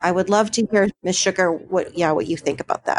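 A woman speaks at a fairly quick pace with a medium pitch and an American accent. The sound is dry and close, with no echo. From Buffalo, New York. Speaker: podcast host. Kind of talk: casual chat.

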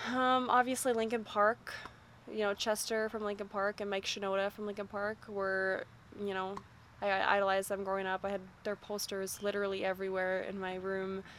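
The woman has a medium pitch. Her pace is fairly quick. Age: 20s. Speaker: rock band vocalist. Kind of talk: casual interview. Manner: animated.

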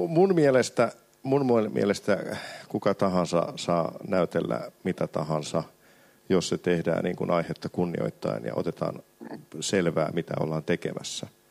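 A man's very deep, low voice with vocal fry and very wide pitch swings, at a fairly slow pace, in a dry, close sound with no echo. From Finland, Sysmä. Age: 40s. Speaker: film director. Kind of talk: panel discussion at a live event. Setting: stage with audience.

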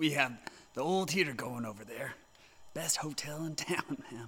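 Using a put-on character voice, a man sounds raspy. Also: fairly high pitch for a man, moderate pace. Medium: audio drama. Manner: folksy, polite, says ma'am.

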